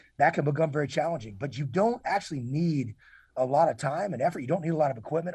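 Against a quiet background, a man talks very fast with lively intonation, a somewhat breathy delivery and a dark, mellow tone. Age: 40s. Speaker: retired military officer and leadership consultant. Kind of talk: interview. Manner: halting, many repeated words and fillers.

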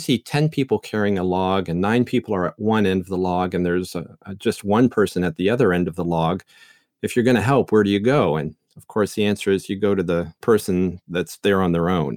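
Speaking fairly quickly with a slight Canadian accent, a man has a fairly low pitch and ordinary pitch variation, captured on a very clean, silent recording with a dry, close sound and no echo. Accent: slight Canadian, noticeable on 'ou' words. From Canada. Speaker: seminary professor. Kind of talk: interview about Bible teaching.

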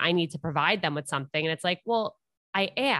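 With a bright, sharp tone and ordinary pitch variation, a woman speaks in a dry, close sound with no echo against a quiet background. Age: 20s. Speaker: dating and relationship podcast host. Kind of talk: casual interview chat.

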